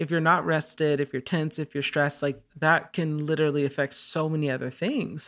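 At a fairly quick pace with hardly any pauses, a woman talks with very deep, low pitch and fairly even intonation. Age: 30s. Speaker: artist and singer. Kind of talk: casual interview chat.

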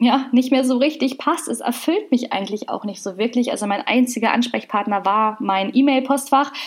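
This woman's voice sits high. Its pitch moves up and down in an ordinary way. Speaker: podcast host, nutrition scientist and business mentor. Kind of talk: solo podcast monologue.

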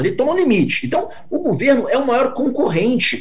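A man speaks at a fairly quick pace over noticeable background noise, with audible room echo. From Brazil. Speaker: venture capital investor. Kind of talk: interview.

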